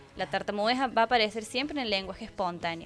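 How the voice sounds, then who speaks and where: A woman speaks with ordinary pitch variation as music plays in the background. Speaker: speech-language pathologist (fonoaudióloga) guest expert. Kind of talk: TV interview answer, explanatory.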